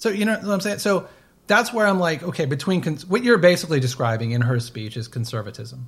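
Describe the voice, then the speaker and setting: Talking at a very fast pace with very wide pitch swings, a man with a high pitch speaks in an American accent. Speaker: podcast co-host. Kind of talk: casual chat. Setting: remote recording.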